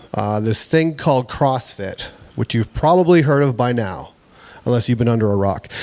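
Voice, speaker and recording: Mumbling at a moderate pace, a man with a Canadian accent speaks at a medium pitch with ordinary pitch variation. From Canada, Huron County, Ontario. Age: 40s. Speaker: fitness business owner, speaker. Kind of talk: motivational talk. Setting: stage with audience.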